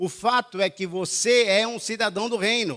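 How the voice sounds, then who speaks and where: The voice belongs to a man. Its sound is close and dry, without any echo. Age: 70s. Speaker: pastor. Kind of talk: sermon. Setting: church with congregation.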